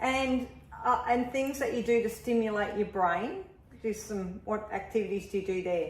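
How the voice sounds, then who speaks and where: With an Australian accent, a woman speaks at a fairly high pitch over noticeable background noise. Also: ordinary pitch variation, moderate pace. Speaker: health business owner. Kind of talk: interview host.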